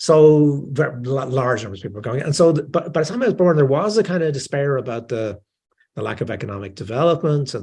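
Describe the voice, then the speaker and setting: In a Dublin accent, a man talks at a very fast pace with a fairly high pitch, lively intonation and a dark, mellow tone, sounding somewhat breathy. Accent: Dublin Irish. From Ireland, Dublin. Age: 60s. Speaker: author. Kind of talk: interview. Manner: halting, many fillers and repetitions.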